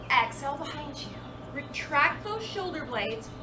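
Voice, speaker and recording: Lively intonation in a calm tone at a moderate pace, with audible room echo. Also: woman. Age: 50s. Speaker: yoga instructor. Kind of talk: guided yoga class. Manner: calm, encouraging.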